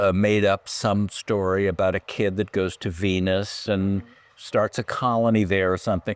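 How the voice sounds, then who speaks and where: A man with an American accent talks in a normal speaking voice at a fairly low pitch and a fairly slow pace, with a dry, close sound and no echo. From California. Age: 60s. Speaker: writer and producer. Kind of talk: interview conversation.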